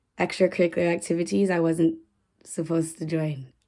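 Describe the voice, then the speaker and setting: In a very clean recording with a silent background, a dark, mellow voice speaks at a moderate pace with fairly even intonation. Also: woman. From Canada, Toronto (Scarborough area). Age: 30s. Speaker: YouTuber. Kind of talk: casual vlog introduction.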